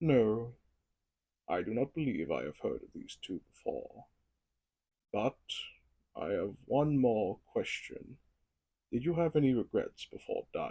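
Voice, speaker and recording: Using a put-on character voice, a man speaks at a fairly slow pace with long, frequent pauses. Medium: solo performance. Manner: measured, inquisitive.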